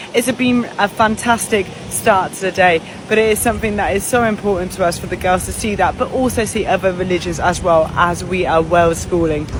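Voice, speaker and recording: In a British accent, a woman talks at a fairly quick pace with lively intonation, with audible room echo and crowd noise in the background. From United Kingdom. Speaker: family travel vlogger. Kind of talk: travel vlog.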